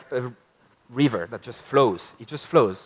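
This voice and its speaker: In a French accent, a man talks at a moderate pace with ordinary pitch variation. The sound is dry and close, with no echo. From France. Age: 30s. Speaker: marketing speaker. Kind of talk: conference talk. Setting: stage with audience.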